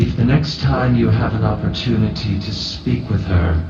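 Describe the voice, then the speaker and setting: Putting on a character voice, a man with a very deep, low pitch speaks at a fairly slow pace with very wide pitch swings, slight echo and clear background noise. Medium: actual play. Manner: formal, measured.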